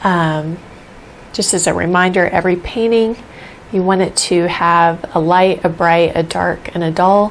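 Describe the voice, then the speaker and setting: Soft-spoken woman with a fairly low pitch, fairly even intonation, and a fairly slow pace, over noticeable background noise. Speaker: painting teacher. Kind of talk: tutorial. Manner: casual.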